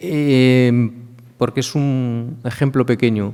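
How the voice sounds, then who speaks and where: Speaking very slowly, a man uses a dark, mellow tone with fairly even intonation. He has a Galician accent. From Galicia, Spain. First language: Galician (speaking Spanish). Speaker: law professor. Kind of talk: conference talk.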